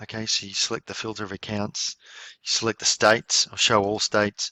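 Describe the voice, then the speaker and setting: Here a man talks at a moderate pace, his pitch fairly low. He has a normal speaking voice. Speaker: software trainer. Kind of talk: tutorial.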